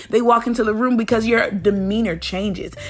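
Fairly quick, fairly high-pitched speech from a woman, noticeable noise behind it. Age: 20s. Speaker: devotional podcast host. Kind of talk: devotional talk. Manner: casual.

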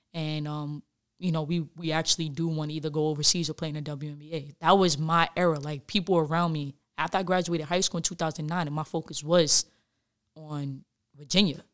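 Speaking with a New York accent, a woman with a very deep, low pitch moves at a fairly quick pace in a monotone, flat intonation. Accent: New York City. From New York City, the Bronx. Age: 20s. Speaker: former basketball player. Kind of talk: casual interview.

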